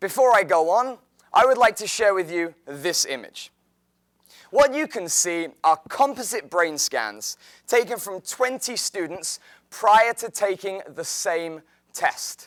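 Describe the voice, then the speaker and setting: A high-pitched man with an English accent, lively intonation, big swings in loudness and a fairly slow pace, in a very clean recording with a silent background. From England, outside London. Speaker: teacher. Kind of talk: presentation talk.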